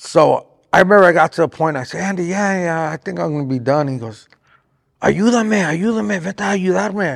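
A man's high voice with an American accent, very fast and lively in intonation. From Southern California, Riverside area. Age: 40s. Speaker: boxing trainer and manager. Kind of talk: interview. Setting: boxing gym.

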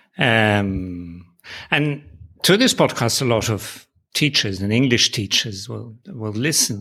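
Speaking at a very slow pace, a man with a medium pitch and a bright, sharp tone shows ordinary pitch variation on a very clean recording with a silent background. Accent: Dutch. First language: Dutch. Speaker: podcast host and publisher. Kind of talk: interview chat. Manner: friendly, laughs often.

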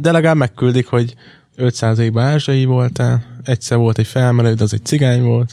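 Speaking at a moderate pace, a man has a dark, mellow tone, medium pitch, very even loudness and fairly even intonation. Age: 20s. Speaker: podcast co-host. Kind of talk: casual chat.

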